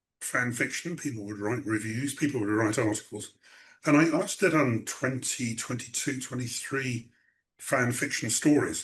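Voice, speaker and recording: Over a quiet background, a man with an English accent speaks at a moderate pace. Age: 60s. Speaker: writer. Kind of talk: interview. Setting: video call. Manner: halting.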